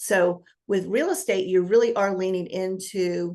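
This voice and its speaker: Against a quiet background, a woman speaks at a medium pitch with vocal fry. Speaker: business coach. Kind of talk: interview. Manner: fast.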